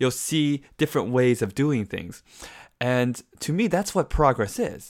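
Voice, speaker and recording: A man at a moderate pace with an animated tone and lively intonation, in a very clean recording with a silent background. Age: 30s. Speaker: podcast host. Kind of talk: monologue podcast.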